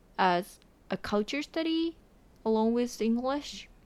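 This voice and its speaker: In a very clean recording with a silent background, a woman with a Japanese accent talks at a fairly slow pace with ordinary pitch variation. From Japan, Shiga Prefecture (Kansai). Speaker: podcast guest, host's girlfriend. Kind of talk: casual chat.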